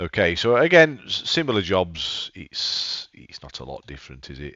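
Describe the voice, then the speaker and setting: At a moderate pace, a man talks in an English accent. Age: 60s. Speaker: gaming YouTuber. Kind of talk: let's play gameplay commentary. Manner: casual, halting with repetitions.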